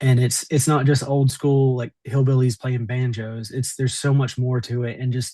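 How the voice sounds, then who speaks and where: At a moderate pace, a man speaks in a medium-pitched, somewhat breathy voice with a dark, mellow tone and monotone, flat intonation. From Southwest Virginia (Appalachia). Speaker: mayor. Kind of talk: interview. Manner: halting, many repeated words.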